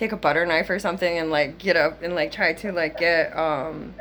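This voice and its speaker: A woman talks with a fairly low pitch. Her pitch varies in an ordinary way. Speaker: psychic medium doing a reading. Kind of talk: psychic reading session. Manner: casual, filler-heavy; fast.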